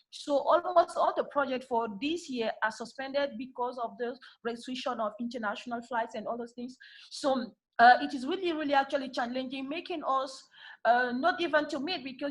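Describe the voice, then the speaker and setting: With a quiet background behind her, a woman speaks at a high pitch. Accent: French. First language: French. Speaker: civil society peacebuilder. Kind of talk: panel discussion remarks. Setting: video call. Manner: halting.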